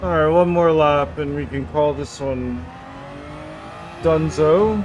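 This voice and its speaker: Someone talks at a very slow pace. Background noise is noticeable. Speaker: video game streamer. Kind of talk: live gameplay commentary. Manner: quiet, sparse talk.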